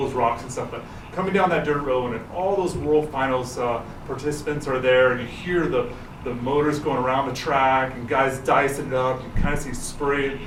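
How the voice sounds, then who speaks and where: A man with an American accent speaks at a medium pitch with fairly even intonation, with audible room echo and noticeable background noise. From Texas, Houston area. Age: 40s. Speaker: jet ski racer. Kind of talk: interview testimony. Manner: halting.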